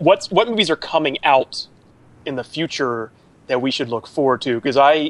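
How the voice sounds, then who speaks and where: A man's normal speaking voice at a fairly high pitch, fairly quick in pace, with an American accent. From Georgia, US South. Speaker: podcast co-host. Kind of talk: casual chat.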